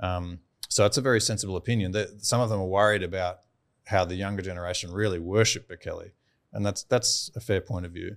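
On a very clean recording with a silent background, a man with an Australian accent talks at a very fast pace, his fairly low pitch holding a fairly even intonation. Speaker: beef farmer and entrepreneur. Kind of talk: casual interview chat.

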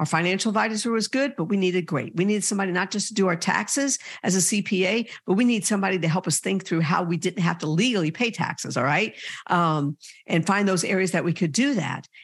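Against a quiet background, the speech runs at a very fast pace. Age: 60s. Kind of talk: sermon-like podcast talk. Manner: warm, encouraging.

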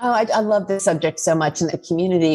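Over music in the background, a woman talks at a very fast pace with a fairly low pitch and ordinary pitch variation. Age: 50s. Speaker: online community founder. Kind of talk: casual chat.

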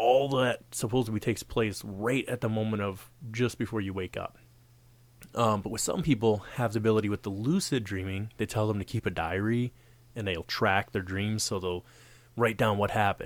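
Set against a very clean recording and silent background, an ordinary speaking voice moves at a moderate pace with ordinary pitch variation. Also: man. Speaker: podcast host. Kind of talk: casual podcast chat.

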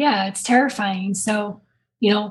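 Fairly high-pitched, somewhat breathy speech from a woman. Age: 30s. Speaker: author and abuse survivor. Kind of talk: casual chat. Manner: pushed, effortful delivery.

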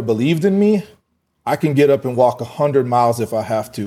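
A man with an American accent, a dark, mellow tone and a fairly quick pace. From US West (Fort Collins, Colorado). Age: 40s. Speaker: entrepreneur and boxing gym owner. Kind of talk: interview.

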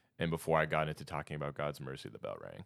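The tone is bright and sharp. The delivery moves at a fairly quick pace. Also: man. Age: 20s. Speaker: podcast host and teacher. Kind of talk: casual chat.

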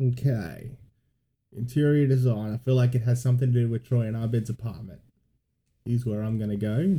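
At a fairly quick pace but with long, frequent pauses, a man talks at medium pitch in a somewhat breathy, dark, mellow tone with ordinary pitch variation. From Gold Coast, Queensland, Australia. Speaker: podcast co-host. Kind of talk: casual chat.

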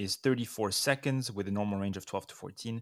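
On a very clean recording with a silent background, a man's voice is heard. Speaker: neonatologist podcast host. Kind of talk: educational review discussion. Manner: mellow.

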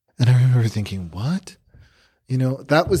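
Somewhat breathy and in a dark, mellow tone, the voice carries lively intonation. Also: man. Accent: American. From Chicago, then South Texas (McAllen). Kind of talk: testimony.

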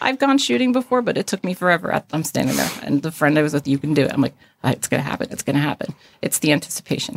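A woman speaks very fast and hardly pauses, her very deep, low voice swinging very widely in pitch. The sound is dry and close with no echo. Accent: American. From northern New Jersey. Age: 40s. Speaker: emergency dispatcher. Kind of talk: interview conversation.

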